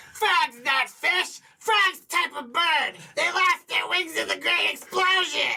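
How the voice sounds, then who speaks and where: Extremely high pitch in a put-on character voice. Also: fairly slow pace. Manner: confidently wrong, comical.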